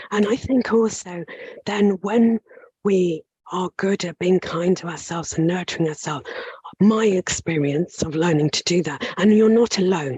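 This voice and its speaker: A woman's breathy, strained voice at medium pitch, moderate pace and ordinary pitch variation. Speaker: occupational psychologist. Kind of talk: coaching conversation with an attendee.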